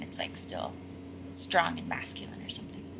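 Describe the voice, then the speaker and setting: A woman with an American accent talks at a fairly quick pace. The recording has audible room echo and noticeable background noise. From Seattle, US Pacific Northwest. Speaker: singer-songwriter. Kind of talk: interview.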